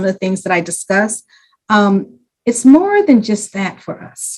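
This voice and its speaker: A somewhat breathy voice at a moderate pace. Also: woman. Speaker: community program leader. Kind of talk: panel presentation. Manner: passionate.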